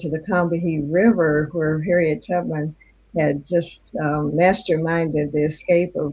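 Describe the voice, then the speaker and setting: Somewhat breathy, a woman with a fairly low pitch and a dark, mellow tone speaks at a fairly slow pace with fairly even intonation. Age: 90s. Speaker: author and historian. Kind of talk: interview. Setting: live online show.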